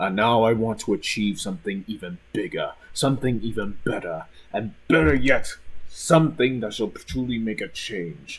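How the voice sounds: A man's fairly low voice with a slightly husky edge, lively intonation and a moderate pace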